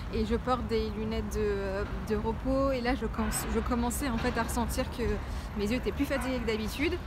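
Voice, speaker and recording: A woman talks at a fairly quick pace. Audible room echo and noticeable background noise are present. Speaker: lifestyle vlogger. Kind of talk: vlog. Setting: outdoors.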